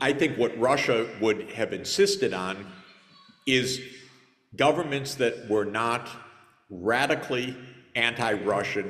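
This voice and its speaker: A man with a medium pitch and ordinary pitch variation speaks over noticeable background noise. He leaves long, frequent pauses. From United States. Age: 60s. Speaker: conference panelist. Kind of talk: panel discussion.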